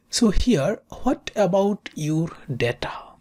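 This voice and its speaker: A woman with a non-native accent speaks with vocal fry. Her pitch swings very widely. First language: not English. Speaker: statistics tutor. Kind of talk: tutorial.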